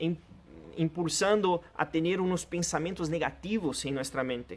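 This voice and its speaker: Speaking with a Portuguese accent, a man uses a fairly high pitch. His pitch varies in an ordinary way. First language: Portuguese (speaking Spanish). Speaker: pastor. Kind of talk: sermon.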